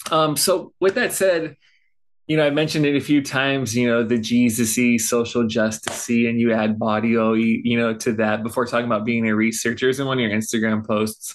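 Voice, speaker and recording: Against a quiet background, a man uses an ordinary speaking voice at medium pitch, fairly quick pace, very even loudness and ordinary pitch variation. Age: 30s. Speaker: podcast host. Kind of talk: interview conversation.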